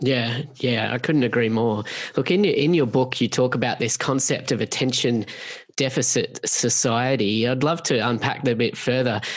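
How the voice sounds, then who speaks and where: A man at medium pitch with ordinary pitch variation, very even loudness and a moderate pace, over noticeable background noise. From Australia. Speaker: podcast host. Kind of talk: interview.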